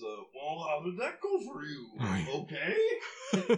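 Very slow pacing from a put-on character voice. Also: man.

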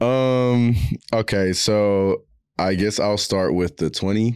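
This man's voice is fairly low, with a clear, smooth and slightly mellow tone. He speaks at a slow pace with ordinary pitch variation.

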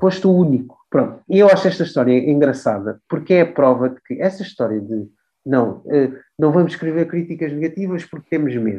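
His pitch fairly high and his tone dark and mellow, a man speaks with lively intonation and big swings in loudness. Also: fairly quick pace. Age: 30s. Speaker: music journalist. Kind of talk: interview. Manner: halting.

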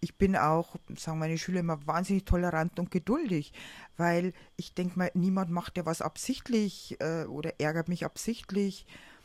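At a moderate pace, a woman with a normal speaking voice talks at a fairly low pitch with fairly even intonation, in a dry, close sound with no echo. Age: 50s. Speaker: artist and teacher with bipolar disorder. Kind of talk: personal testimony in interview. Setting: on holiday together.

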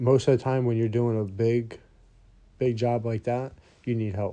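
A man's dark, mellow tone at medium pitch, fairly even in intonation and moderate in pace, against a quiet background. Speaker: partner of the host. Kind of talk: casual chat.

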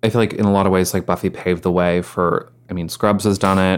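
A normal speaking voice at a fairly quick pace. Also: man. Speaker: podcast host. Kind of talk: casual chat.

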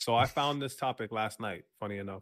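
Here a man talks at a fairly quick pace in a plain, everyday voice. His pitch is medium and his intonation fairly even. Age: 20s. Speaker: podcast co-host. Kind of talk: casual chat. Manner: loud.

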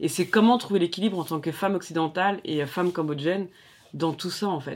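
At a moderate pace, a woman speaks in a normal speaking voice with a fairly low pitch and ordinary pitch variation. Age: 40s. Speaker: daughter of a Cambodian refugee. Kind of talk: interview conversation.

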